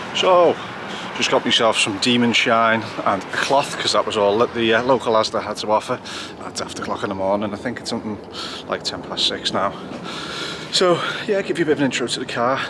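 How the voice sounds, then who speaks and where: A man with a medium pitch talks at a fairly quick pace and with lively intonation, leaving long, frequent pauses over noticeable background noise. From northwest England, Wirral, Merseyside. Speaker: car enthusiast vlogger. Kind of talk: casual vlog narration. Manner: casual, with fillers and hesitations.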